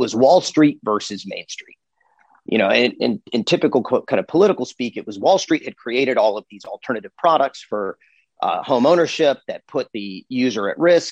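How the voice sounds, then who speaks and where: The recording is dry and close, with no echo. A man with a plain, everyday voice speaks at medium pitch and moderate pace with lively intonation. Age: 40s. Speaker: personal finance educator and founder. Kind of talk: interview.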